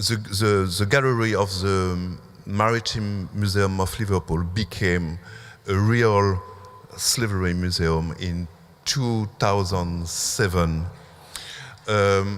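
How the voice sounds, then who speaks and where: A man with a French accent, speaking at a very slow pace, with long, frequent pauses. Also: fairly low pitch for a man, fairly even intonation. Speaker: museum curator. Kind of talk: symposium talk. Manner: halting, many fillers.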